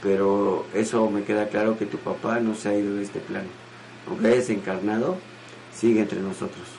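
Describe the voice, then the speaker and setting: Amid noticeable background noise and audible room echo, a man with a fairly low pitch talks at a moderate pace. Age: 50s. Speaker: spiritual teacher hosting a show. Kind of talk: question and answer talk. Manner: animated.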